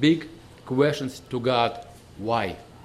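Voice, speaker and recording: Speaking with a Russian accent, a man talks at a very slow pace. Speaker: visiting preacher. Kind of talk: sermon. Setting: church. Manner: halting.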